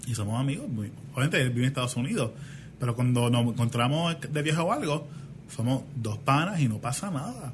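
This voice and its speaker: A somewhat breathy man at a fairly quick pace. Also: medium pitch for a man, ordinary pitch variation. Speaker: podcast co-host. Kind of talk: casual chat.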